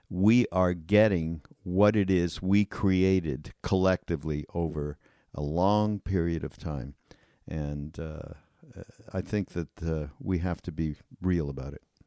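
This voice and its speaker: Recorded dry and close with no echo, a man speaks at a fairly slow pace with a very deep, low pitch and a dark, mellow tone. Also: ordinary pitch variation. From Canada. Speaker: podcast host. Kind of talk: casual chat. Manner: halting.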